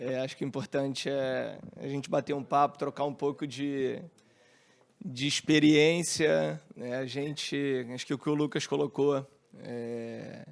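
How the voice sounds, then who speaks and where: Speaking fairly slowly with a Rio de Janeiro accent, a man uses a fairly high pitch and fairly even intonation on a very clean recording with a silent background. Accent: Rio de Janeiro accent, hissing s. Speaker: company CEO, panel moderator. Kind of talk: panel discussion. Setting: stage with audience.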